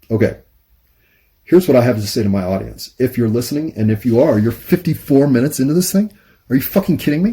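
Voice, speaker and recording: A man with an American accent speaks at a very fast pace, his medium-pitched voice somewhat breathy. His tone is dark and mellow, and his intonation is lively. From United States. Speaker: YouTube monologue host. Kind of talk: casual monologue. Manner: halting, pauses to find words.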